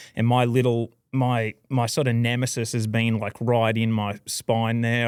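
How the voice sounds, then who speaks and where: The recording is very clean, with a silent background. A man with an Australian accent talks at a medium pitch. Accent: Australian, kept. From Australia, Queensland (Toowoomba). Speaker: professional bass angler. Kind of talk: casual chat.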